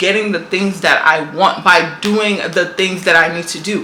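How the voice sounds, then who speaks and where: A woman at a moderate pace and medium pitch, against noticeable background noise. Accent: New York. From New York. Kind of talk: motivational talk to camera. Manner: casual, emphatic.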